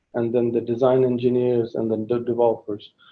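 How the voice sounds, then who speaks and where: A man's monotone, flat delivery with a slight English accent. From England. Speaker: guest speaker, tech project manager. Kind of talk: Q&A talk at a meeting.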